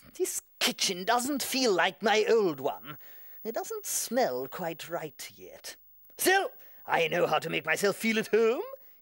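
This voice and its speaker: A cartoonish character voice, fairly high-pitched, at a fairly slow pace. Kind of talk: children's TV puppet comedy. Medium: comedy sketch. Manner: bossy, enthusiastic.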